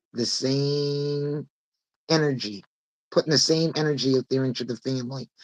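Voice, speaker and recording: A woman at a fairly slow pace with a very deep, low pitch. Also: dry, close sound with no echo. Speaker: podcast host. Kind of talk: casual chat.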